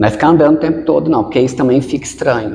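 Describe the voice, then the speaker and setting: This man speaks at a fairly high pitch with lively intonation. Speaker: researcher and actor giving presentation tips. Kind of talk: podcast interview.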